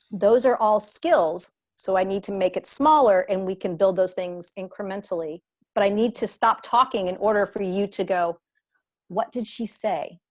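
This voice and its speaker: In a plain, everyday voice, a woman of medium pitch talks at a fairly slow pace with ordinary pitch variation, recorded very cleanly against a silent background. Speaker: gymnastics coach and training educator. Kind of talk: podcast interview.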